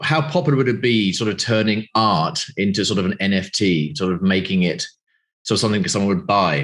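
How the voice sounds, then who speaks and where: In a British accent, a man speaks at a fairly quick pace and a fairly low pitch. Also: quiet background. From UK. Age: 40s. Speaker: tech company founder and CEO. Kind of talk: interview. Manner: hesitant, with many fillers.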